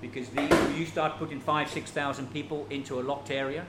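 A man with fairly even intonation amid audible room echo and noticeable background noise. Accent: British. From Britain. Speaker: refugee aid worker. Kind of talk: interview. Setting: kitchen.

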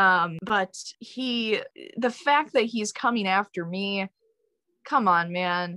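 The pitch swings very widely at a very slow pace, with an American accent. The sound is dry and close with no echo, and the tone is bright and sharp. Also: woman. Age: young. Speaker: music student. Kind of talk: casual chat.

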